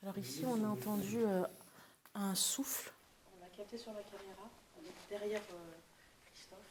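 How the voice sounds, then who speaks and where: A woman of medium pitch talks at a moderate pace with ordinary pitch variation, big swings in loudness, and long, frequent pauses. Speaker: paranormal investigator. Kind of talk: paranormal investigation on location. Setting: inside a cave. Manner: soft-spoken.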